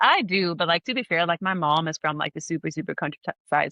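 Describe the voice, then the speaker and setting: The speaker talks at a fairly quick pace with a Swedish accent. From southern Sweden, Malmö. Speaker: podcast guest. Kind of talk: casual chat. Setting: remote call. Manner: animated.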